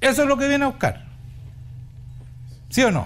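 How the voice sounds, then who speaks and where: Audible room echo surrounds a man speaking with a Chilean accent. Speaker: pastor. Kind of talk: sermon. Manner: animated.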